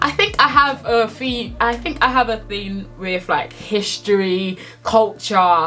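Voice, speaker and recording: With music in the background, a woman speaks very slowly at a fairly high pitch with lively intonation. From born in Nigeria, raised in England. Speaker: book YouTuber. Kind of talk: casual vlog book review.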